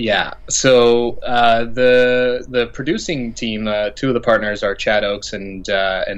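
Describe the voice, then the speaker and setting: A man speaks with a Canadian accent. His pitch sits in the medium range. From Alberta, Canada. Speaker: actor. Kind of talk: interview. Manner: halting.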